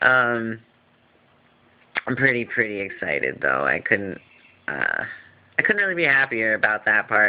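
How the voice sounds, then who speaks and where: A man mumbling at a moderate pace, with long, frequent pauses. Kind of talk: casual vlog update. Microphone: phone recording.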